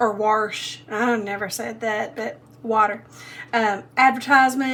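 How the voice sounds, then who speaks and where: A woman speaks at a fairly slow pace with a fairly high pitch. Her intonation is monotone and flat. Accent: Southern US. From Middle Tennessee. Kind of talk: casual talk to camera.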